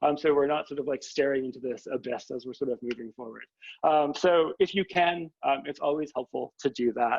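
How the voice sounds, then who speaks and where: A man's fairly high, fairly quick voice with ordinary pitch variation, an unremarkable speaking voice. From Canada. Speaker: history professor. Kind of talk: informal talk to new students. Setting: video call.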